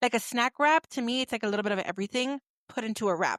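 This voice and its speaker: The recording is dry and close, with no echo. A woman's fairly high voice carries a bright, sharp tone. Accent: American. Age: 30s. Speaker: podcast host. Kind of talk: casual chat.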